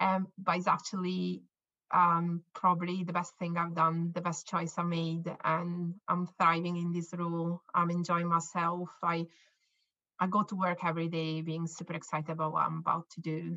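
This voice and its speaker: A woman's fairly low, bright, sharp voice with an Italian accent, monotone, flat intonation and a moderate pace. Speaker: scientist and company co-founder. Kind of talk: interview. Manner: halting, with repetitions.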